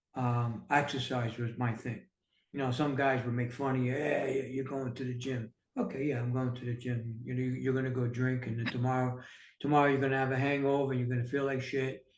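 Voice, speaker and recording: Speaking fairly quickly in a New York accent, a man with a medium pitch sounds somewhat breathy, his intonation monotone and flat. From New York City. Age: 60s. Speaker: entrepreneur and author. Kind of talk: casual interview.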